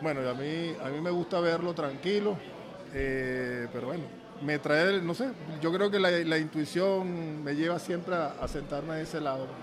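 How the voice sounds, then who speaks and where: With audible room echo and noticeable background noise, a man speaks at a fairly slow pace in a fairly high pitch with ordinary pitch variation. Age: 60s. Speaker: football coach. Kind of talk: casual chat. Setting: restaurant. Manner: halting.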